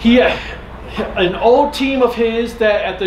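With light background noise and audible room echo, a man speaks at a high pitch with ordinary pitch variation. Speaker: panel host. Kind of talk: lecture. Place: hall. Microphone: camera far.

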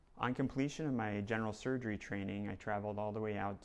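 A man speaks with fairly low pitch. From New Jersey. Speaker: plastic surgeon. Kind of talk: self-introduction video. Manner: hesitant with fillers. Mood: calm, earnest. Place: studio. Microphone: lapel.

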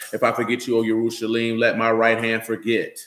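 A man with a fairly low pitch speaks at a fairly quick pace, with audible room echo. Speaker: religious teacher. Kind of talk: scripture reading and sermon. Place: home room. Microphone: phone near.

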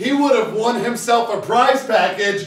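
A man talks at a fairly slow pace and an extremely high pitch, with ordinary pitch variation and audible room echo.

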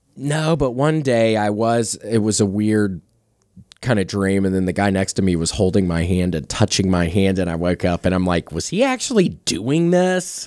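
A man with a normal speaking voice talks at a moderate pace in a fairly low pitch with lively intonation, in a dry sound with no echo against a quiet background. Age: 30s. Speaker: comedian and comedy podcast host; comedian, comedy podcast host. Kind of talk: casual chat. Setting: studio. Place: studio. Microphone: studio mic.

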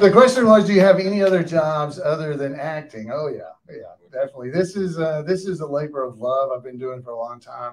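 With a Southern US accent, a man speaks at a fairly quick pace in a fairly high pitch, his intonation lively and his loudness swinging widely. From US South. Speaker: cast member moderating audience questions; panelist. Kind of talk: live post-screening Q&A. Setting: stage with audience in a theater. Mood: jovial, animated. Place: hall.

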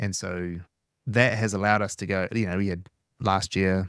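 A man's very deep, low voice with fairly even intonation, a dry sound with no echo, and a quiet background. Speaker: podcast guest. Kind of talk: interview answer. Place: studio. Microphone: studio mic.

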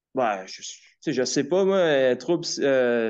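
This voice belongs to a man. He speaks with ordinary pitch variation. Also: quiet background. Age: 20s. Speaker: caller, artist; caller. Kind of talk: personal testimony on call-in show. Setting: phone call. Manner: halting. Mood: hesitant, reflective. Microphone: phone line.

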